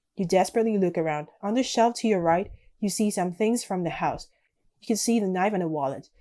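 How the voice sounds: Ordinary pitch variation from a natural reading voice, over a quiet background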